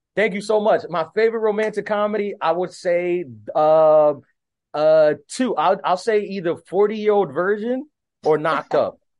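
A man's high-pitched voice in an American accent, at a moderate pace with ordinary pitch variation. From US, Dominican American. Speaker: stand-up comedian. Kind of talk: casual interview. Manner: casual, filler-heavy.

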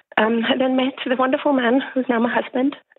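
Her intonation flat and monotone, a woman talks at a fairly quick pace. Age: 30s. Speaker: caller, PhD student and mother. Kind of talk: call-in advice conversation.

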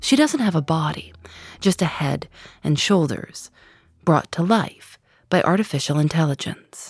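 Over a silent background in a very clean recording, a woman with a fairly low pitch and a somewhat breathy voice speaks fairly slowly, using lively intonation and long, frequent pauses. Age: 30s. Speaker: podcast host. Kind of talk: narrated interview podcast. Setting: radio studio.

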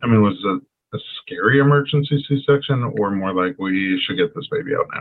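Fairly quick delivery comes in an ordinary speaking voice. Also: man, fairly high pitch for a man. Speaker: podcast host and chiropractor. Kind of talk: interview.

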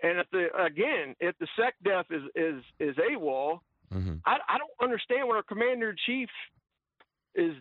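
At a moderate pace, a man with a high voice speaks in very wide pitch swings. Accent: American. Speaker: radio caller. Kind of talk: call-in radio. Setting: phone call.

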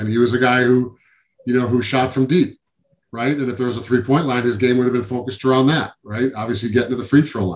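Somewhat breathy, a man with an American accent speaks at a very fast pace. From Syracuse, New York. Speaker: former pro basketball player. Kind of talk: interview.

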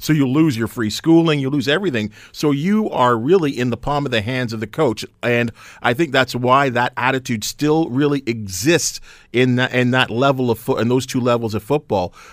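In a very clean recording with a silent background, a man speaks at medium pitch and a moderate pace. He has a plain, everyday voice with ordinary pitch variation. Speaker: sports broadcaster. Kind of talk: casual chat. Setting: studio.

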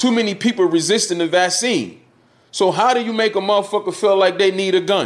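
With an East Coast US accent, the speaker has an animated tone and a fairly quick pace. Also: man. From West Philadelphia with early years in Georgia. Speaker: former radio promoter and online commentator. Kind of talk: casual interview chat.

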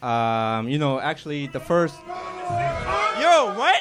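Against noticeable background noise, a man's voice makes very wide pitch swings. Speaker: amateur comedian. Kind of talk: stand-up. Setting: stage with audience.

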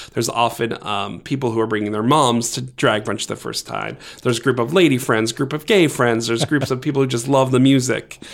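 Hardly pausing at all, a man with an American accent talks fairly quickly at medium pitch with fairly even intonation. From US Northeast (Massachusetts, Maryland). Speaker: event producer. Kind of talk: interview.

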